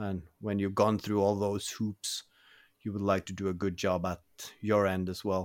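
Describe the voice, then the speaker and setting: A man with monotone, flat intonation on a very clean recording with a silent background. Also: fairly low pitch for a man, moderate pace. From northern Norway. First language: Norwegian. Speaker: podcast co-host, YouTube maker. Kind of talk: casual chat.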